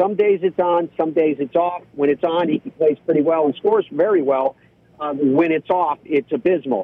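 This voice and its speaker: This man has a normal speaking voice, fairly high in pitch, with ordinary pitch variation. He talks at a moderate pace, and his loudness stays very even. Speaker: golf broadcaster. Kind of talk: casual interview. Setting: phone call from parked car.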